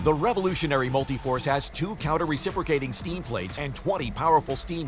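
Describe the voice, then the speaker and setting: A man speaks with music in the background. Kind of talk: TV commercial read.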